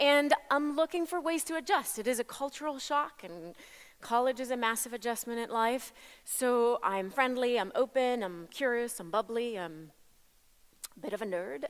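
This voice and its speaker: Her voice is high-pitched, and the woman speaks with lively intonation at a moderate pace in a very clean recording with a silent background. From Italy. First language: Italian. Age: 40s. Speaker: motivational speaker. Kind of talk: keynote speech. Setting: stage with audience.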